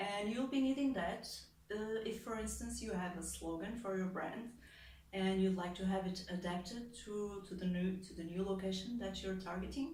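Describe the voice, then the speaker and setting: Speaking at a moderate pace and medium pitch with ordinary pitch variation, a woman with a Portuguese accent is heard amid noticeable background noise and audible room echo. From Portugal. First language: European Portuguese. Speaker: translator and content creator. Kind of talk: explainer video monologue. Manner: casual with many fillers.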